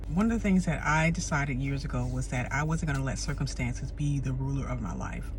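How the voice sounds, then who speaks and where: A woman's very fast delivery with hardly any pauses, over noticeable background noise. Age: 50s. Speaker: self-care coach / motivational speaker. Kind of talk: motivational talk to camera.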